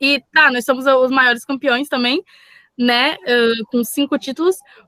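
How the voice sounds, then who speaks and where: A woman's raised, projected voice, high and bright, sharp in tone, with fairly even intonation at a fairly slow pace, in a dry, close sound with no echo. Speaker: Portuguese teacher. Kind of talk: lecture.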